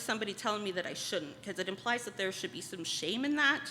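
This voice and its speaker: This woman has an ordinary speaking voice at medium pitch. Her intonation is lively. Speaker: spoken word poet. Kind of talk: casual talk to audience.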